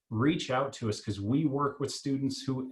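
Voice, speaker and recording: Ordinary pitch variation marks this man's speech. He goes at a moderate pace. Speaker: college admissions staff. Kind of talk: virtual info session panel. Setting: video call. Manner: loud.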